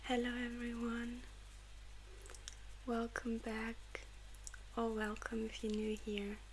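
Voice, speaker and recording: Soft-spoken and very slow, the voice leaves long, frequent pauses over noticeable background noise. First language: German. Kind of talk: audiobook reading for sleep.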